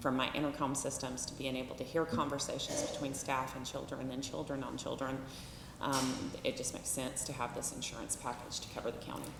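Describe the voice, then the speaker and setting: A woman with an American accent speaks at a fairly quick pace in a very deep, low pitch and a monotone, flat intonation. Audible room echo and noticeable background noise surround her voice. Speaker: juvenile detention director. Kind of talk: public meeting report. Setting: county commissioners court meeting. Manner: loud.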